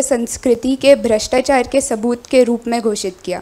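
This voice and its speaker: The speaker has a non-native accent and fairly even intonation. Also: woman. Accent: non-native Hindi pronunciation. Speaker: queer activist panel speaker. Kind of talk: reading a prepared speech. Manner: halting, with fillers.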